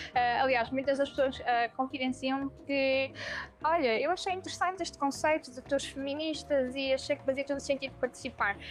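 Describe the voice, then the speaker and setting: A woman speaks at a moderate pace in a high pitch with fairly even intonation. Her loudness swings widely. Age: 20s. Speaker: feminist walking tour guide. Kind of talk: interview testimony. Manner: hesitant, frequent fillers.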